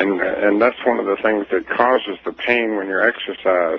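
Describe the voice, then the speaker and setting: A man keeps a moderate pace as noticeable background noise runs underneath. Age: 60s. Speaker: inventor. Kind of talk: radio interview. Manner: halting, many fillers.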